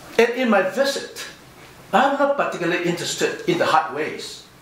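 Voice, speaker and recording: A man speaks at a moderate pace, and room echo can be heard around him. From overseas Chinese community. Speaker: professor. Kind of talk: conference response speech. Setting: conference hall with audience. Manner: formal. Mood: measured, thoughtful. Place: hall. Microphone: podium.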